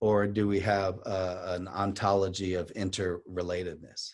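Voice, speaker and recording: Over a quiet background, a man with an ordinary speaking voice and a fairly low pitch speaks at a fairly slow pace. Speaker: poet and activist. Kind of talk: talk on poetry and activism.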